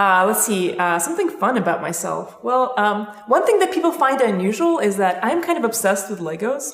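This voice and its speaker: Over noticeable background noise and audible room echo, a woman with an American accent talks at a fairly quick pace with hardly any pauses, her fairly high pitch swinging very widely. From Belarus, then US from age ten. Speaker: professor. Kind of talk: casual introductions. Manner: hesitant, many fillers.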